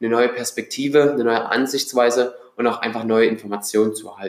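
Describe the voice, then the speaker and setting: A man with an ordinary speaking voice talks at a fairly quick pace, with ordinary pitch variation. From Germany, Dresden (Saxony). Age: 20s. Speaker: podcast host. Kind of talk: solo podcast intro monologue. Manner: casual.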